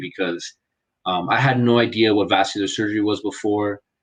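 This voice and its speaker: In an American accent, a man speaks at a moderate pace and fairly low pitch. His intonation is fairly even, and the background is quiet. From Los Angeles, California, US. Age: 20s. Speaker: medical student, English tutor. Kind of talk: casual interview. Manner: halting, many fillers.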